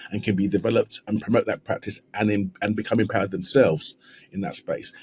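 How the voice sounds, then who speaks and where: A man with a London accent, very fast and somewhat breathy, with a dark, mellow tone and lively intonation. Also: dry, close sound with no echo. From South East London. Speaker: trauma surgeon. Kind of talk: podcast interview. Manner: repetitive false starts.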